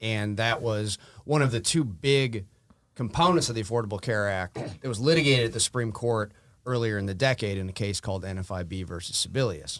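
Recorded very cleanly against a silent background, a man with an American accent and a plain, everyday voice speaks at a fairly quick pace, fairly low in pitch with ordinary pitch variation. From Wisconsin, US Midwest. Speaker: lawyer. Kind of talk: legal discussion interview.

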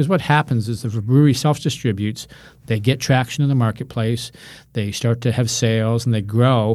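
At a fairly quick pace, a man with an ordinary speaking voice and an American accent talks at medium pitch with fairly even intonation. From Colorado. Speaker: beer trade association executive. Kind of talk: interview.

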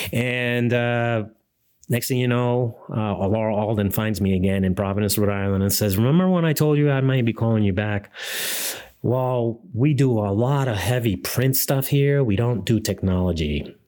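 The recording is very clean, with a silent background, as a man talks at a moderate pace in a dark, mellow tone. His pitch is medium with ordinary variation, and his loudness is very even. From Ecuador. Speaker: seminary administrator and photographer. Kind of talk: interview.

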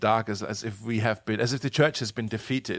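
A medium-pitched man with a German accent, talking at a very fast pace on a very clean recording with a silent background. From Germany. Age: 30s. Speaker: pastor. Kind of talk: casual interview.

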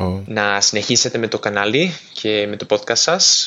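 Fairly slow speech from a man with a Spanish accent, fairly low in pitch and fairly even in intonation, amid noticeable background noise. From Spain, Valladolid. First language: Spanish (speaking Greek). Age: 20s. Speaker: interpreter, listener. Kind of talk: recorded voice message.

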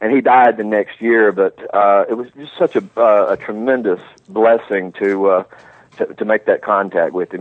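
This man has a fairly low pitch and speaks with a Southern US accent. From US South. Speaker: author. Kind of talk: casual chat. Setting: phone call.

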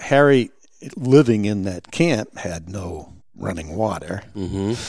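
A man with a New England accent speaks at a very slow pace in a fairly low voice, his intonation lively and his loudness swinging widely. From New Hampshire, Lakes Region. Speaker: retired game warden and outdoor guide. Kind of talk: casual interview. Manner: halting, repeats words.

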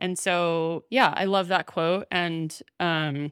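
A woman's normal speaking voice with an American accent, fairly low in pitch and fairly even in intonation, dry and close with no echo, on a very clean recording with a silent background. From US South. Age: 40s. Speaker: podcast host. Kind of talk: casual chat; scripted narration.

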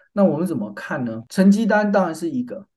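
A man with a dark, mellow tone talks at a fairly quick pace, his pitch swinging very widely. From Taiwan. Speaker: business school professor and department chair. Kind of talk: interview.

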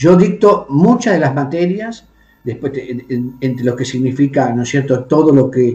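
Somewhat breathy and dark, mellow in tone, a man speaks at a fairly slow pace with ordinary pitch variation. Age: 50s. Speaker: bishop and exorcist. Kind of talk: interview. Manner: formal.

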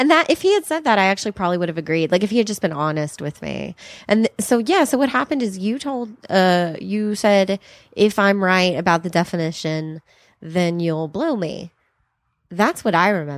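A woman with a plain, everyday voice speaks at a moderate pace in a medium pitch with lively intonation, in a very clean recording with a silent background. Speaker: comedian. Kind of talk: casual chat. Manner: laughs often.

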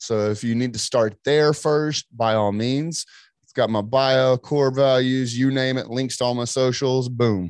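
With an ordinary speaking voice, a man talks fairly slowly at medium pitch, his intonation fairly even but his loudness swinging widely. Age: 30s. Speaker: entrepreneur and marketing business owner. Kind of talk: interview.

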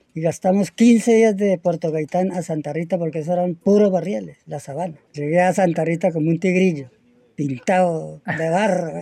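At a moderate pace, a man speaks in a high pitch with a dark, mellow tone. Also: ordinary pitch variation. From Colombia, Tolima (Purificación). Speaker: settler. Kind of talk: interview. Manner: halting.

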